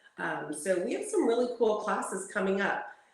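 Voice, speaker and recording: There is audible room echo around a woman's voice. She speaks at a moderate pace. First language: not Spanish; fluent bilingual speaker. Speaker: home staging instructor. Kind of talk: interview.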